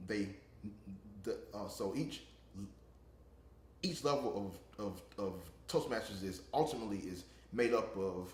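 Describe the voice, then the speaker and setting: A somewhat breathy man with a fairly low pitch speaks at a fairly slow pace with long, frequent pauses, ordinary pitch variation and audible room echo. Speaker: interviewee, public speaking club member. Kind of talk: interview. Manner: halting, many repetitions.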